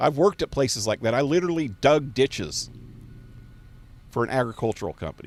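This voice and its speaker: Using an American accent, a man of medium pitch talks very fast with lively intonation, an animated tone, vocal fry and long, frequent pauses, in a very clean recording with a silent background. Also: dry, close sound with no echo. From US West, Fresno, California. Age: 60s. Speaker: gaming live streamer. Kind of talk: casual live-stream rant. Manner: halting.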